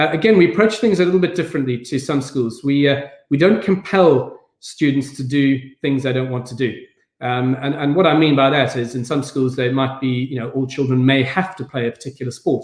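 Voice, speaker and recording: This man has a South African accent and a fairly high pitch. He talks at a fairly quick pace with ordinary pitch variation. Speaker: head teacher. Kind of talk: online event talk. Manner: hesitant, many fillers.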